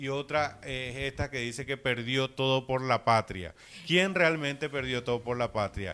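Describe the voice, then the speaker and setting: A man talks at a fairly slow pace. His pitch is medium with ordinary variation. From Paraguay. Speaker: visual artist. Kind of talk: interview.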